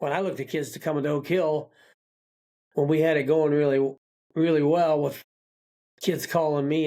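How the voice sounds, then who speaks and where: In an American accent, a man speaks with a fairly high pitch and a dark, mellow tone, his intonation monotone and flat. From Kentucky. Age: 70s. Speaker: retired high school basketball coach. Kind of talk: interview. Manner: halting, many fillers.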